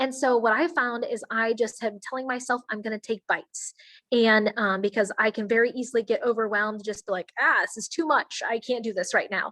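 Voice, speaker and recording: A woman's fairly high-pitched voice with a bright, sharp tone and fairly even intonation, hardly any pauses, and a dry, close sound with no echo. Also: fairly quick pace. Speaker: network marketing distributor. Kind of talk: online presentation to a team. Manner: fast.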